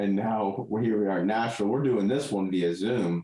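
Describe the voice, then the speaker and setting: A man with a dark, mellow tone speaks at a moderate pace and a fairly low pitch. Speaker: podcast host. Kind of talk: casual podcast conversation.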